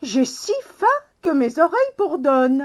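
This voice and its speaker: A woman performs a put-on character voice. Her pitch sits high. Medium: read story.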